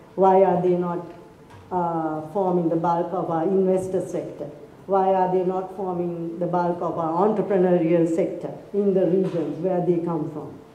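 There is audible room echo as a woman speaks at a moderate pace, her fairly low voice monotone and flat. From Sri Lanka. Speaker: lawyer; speaker. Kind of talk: formal speech; public talk. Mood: earnest, questioning. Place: hall. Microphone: podium.

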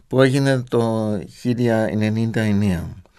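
A man is speaking. The background is quiet. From Germany. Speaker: radio host, theologian. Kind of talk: radio interview. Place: studio. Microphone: studio mic.

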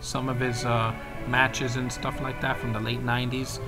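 Clear music sits in the background. A man talks over it at a moderate pace. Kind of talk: casual vlog chat. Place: home room. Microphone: webcam.

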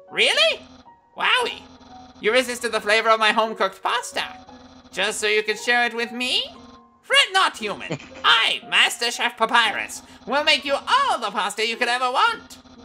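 A female-sounding put-on character voice at a fairly high pitch moves at a moderate pace over faint background music. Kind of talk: comic overacting of game dialogue. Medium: game stream. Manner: pompous, grandiose, enthusiastic; friendly, eager to please.

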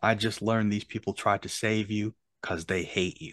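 Intonation stays fairly even in a dry recording with no echo and a quiet background. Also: man. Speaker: podcast host. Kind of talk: commentary reading lyrics aloud. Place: home room. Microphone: video call.

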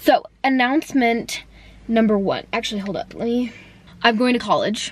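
A woman's voice with ordinary pitch variation comes through as a dry sound with no echo. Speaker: vlogger. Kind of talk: casual vlog chat. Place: car. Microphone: phone near.

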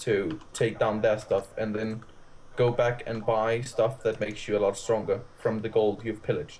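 A man's somewhat breathy voice at medium pitch and a moderate pace. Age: young. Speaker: gamer. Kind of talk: casual chat.

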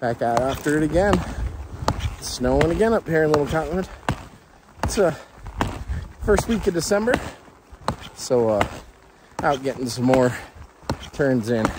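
The man speaks with long, frequent pauses. The sound is dry with no echo, though there is noticeable background noise. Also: moderate pace. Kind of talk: casual vlog chat. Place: open country. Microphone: phone near.

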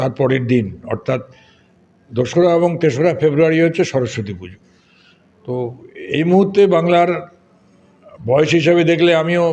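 This man has a plain, everyday voice, pitched fairly high, with ordinary pitch variation. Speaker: blood donation activist. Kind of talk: interview.

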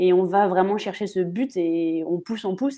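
At a moderate pace, a woman speaks with fairly even intonation over a quiet background. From Paris region, France; France. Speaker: footballer; guest. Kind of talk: live stream interview. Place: home room. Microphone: video call.

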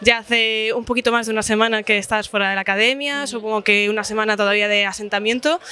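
In a dry sound with no echo, a woman talks very fast at a fairly high pitch with fairly even intonation. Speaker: magazine reporter. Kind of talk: interview questions. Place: cafe.

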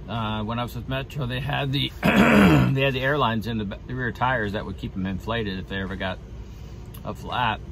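The pace is fairly quick. The sound is dry with no echo, though noticeable background noise is present. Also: man. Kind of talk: casual vlog chat. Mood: relaxed, reflective.

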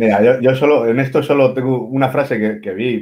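A man does the talking. His pace is fairly quick. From Cantabria, Spain (Santander); Cantabria, Spain. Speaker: writer, columnist. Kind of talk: casual interview. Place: home room. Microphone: video call.

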